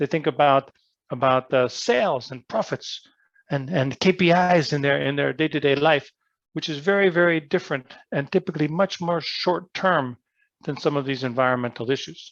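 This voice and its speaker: In an ordinary speaking voice, a man with a fairly high pitch and ordinary pitch variation talks at a moderate pace, the sound dry and close with no echo and a quiet background. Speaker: business school professor. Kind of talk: lecture.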